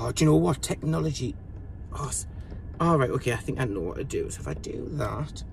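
There is light background noise as a man talks at a moderate pace, with a dry sound and no echo. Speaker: vlogger. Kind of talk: casual vlog chat. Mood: chatty, playful, self-mocking.

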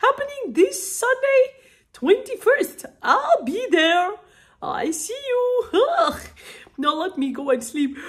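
A woman speaks in a put-on character voice at a very slow pace. Her pitch swings very widely. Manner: sleepy, grumpy.

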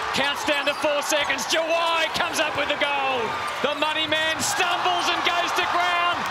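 Loud background noise runs under the speech. The pace is moderate. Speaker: basketball commentator. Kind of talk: live sports commentary. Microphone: headset.

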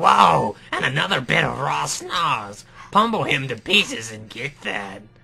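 This man is doing a put-on character voice at a medium pitch. He speaks at a fairly slow pace. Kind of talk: nerdy.

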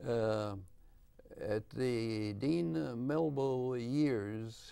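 The man's dark, mellow tone carries ordinary pitch variation. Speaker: professor emeritus of education. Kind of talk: interview answer. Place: studio.

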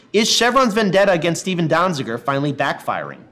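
A man speaks very fast with lively intonation. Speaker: online news show host. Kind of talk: news commentary and article reading. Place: office.

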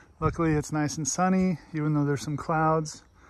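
Moderate in pace, the speech has a dry sound with no echo and light background noise. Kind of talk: casual vlog chat. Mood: relaxed, pleased. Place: open country. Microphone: phone near.

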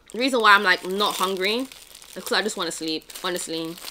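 Noticeable background noise sits behind a woman who talks at a fairly quick pace. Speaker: vlogger. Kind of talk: casual vlog talk.

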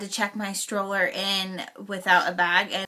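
Quiet background, a woman's voice, a fairly slow pace. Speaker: mother vlogger. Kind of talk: casual vlog chat. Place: home room. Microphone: phone near.

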